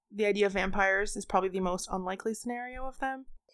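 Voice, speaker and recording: A woman uses a normal speaking voice at medium pitch, speaking at a fairly quick pace with ordinary pitch variation. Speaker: podcast host. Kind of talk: casual chat.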